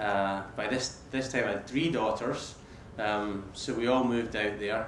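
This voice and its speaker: Audible room echo and noticeable background noise fill the recording. A man speaks at a fairly slow pace. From Scotland, Paisley. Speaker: business executive. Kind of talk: talk to students. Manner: repeats words often.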